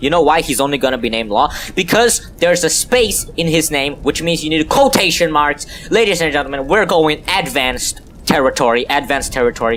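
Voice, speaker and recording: Noticeable background noise sits behind a man speaking with a non-native accent. His fairly high voice moves fairly quickly with lively intonation. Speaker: gaming YouTuber. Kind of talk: game tutorial commentary. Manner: casual, joking.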